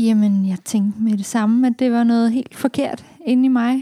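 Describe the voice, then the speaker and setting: A woman speaks very slowly at a high pitch, with ordinary pitch variation and a dark, mellow tone. The sound is dry and close, with no echo. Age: 20s. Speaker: café operations manager. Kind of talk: podcast interview. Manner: halting.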